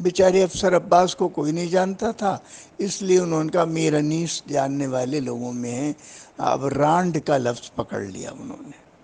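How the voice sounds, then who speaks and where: A man talks at a fairly high pitch while noticeable background noise carries on around him. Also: lively intonation. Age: 80s+. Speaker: Urdu literary scholar. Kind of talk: interview commentary.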